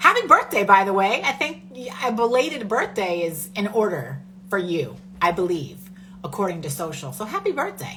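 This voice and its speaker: A woman's medium-pitched, animated voice with lively intonation at a moderate pace, plus audible room echo and noticeable background noise. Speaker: podcast host. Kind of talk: casual chat.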